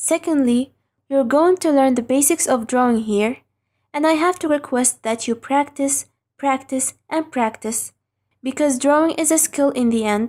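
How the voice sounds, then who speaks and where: On a very clean recording with a silent background, a woman speaks at a moderate pace with a non-native accent. Her pitch is high and her tone dark and mellow. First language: not English. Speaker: online drawing instructor. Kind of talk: tutorial. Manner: scripted, careful.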